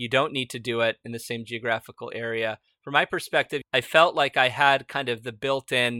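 Recorded very cleanly with a silent background and a dry, close sound with no echo, the voice has a bright, sharp tone, monotone, flat intonation, a moderate pace and an American accent. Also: man. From United States, Argentine immigrant parents. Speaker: startup founder and CEO, podcast host. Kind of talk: interview answers, casual conversation.

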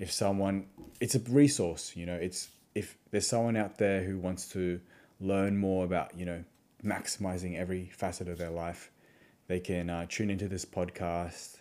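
A man speaks with a very deep, low pitch and a dark, mellow tone in an Australian accent. His intonation stays fairly even at a moderate pace. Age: 20s. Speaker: podcast host, physiotherapist. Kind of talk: solo podcast monologue. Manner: casual, filler-heavy.

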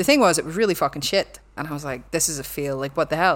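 A woman with a Belfast accent speaks very fast at a fairly low pitch, with ordinary pitch variation, on a very clean recording with a silent background. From Belfast, Northern Ireland. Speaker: university lecturer and researcher. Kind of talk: casual podcast interview.

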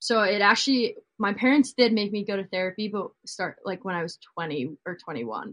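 A woman has a plain, everyday voice at a medium pitch. She talks at a fairly quick pace with lively intonation. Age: 20s. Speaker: singer-songwriter. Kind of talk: casual chat.

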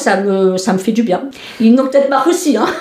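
Over noticeable background noise, a woman with a fairly high pitch talks at a fairly quick pace. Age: 50s. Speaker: cancer patient. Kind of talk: testimony. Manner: halting.

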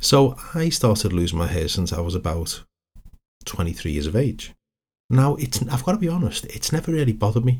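Vocal fry and very wide pitch swings in a man's medium-pitched, fairly quick speech. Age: 50s. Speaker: hypnotherapist and counsellor. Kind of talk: solo podcast monologue.

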